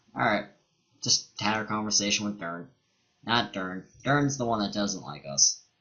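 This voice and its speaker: A man speaks at a fairly low pitch with lively intonation and a moderate pace. Music plays in the background. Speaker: let's play gamer. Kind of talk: gameplay commentary. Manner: quiet.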